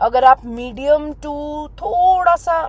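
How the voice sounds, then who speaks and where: Loud and with lively intonation, a woman speaks. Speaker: makeup artist. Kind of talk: tutorial. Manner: Hindi-English code-switching.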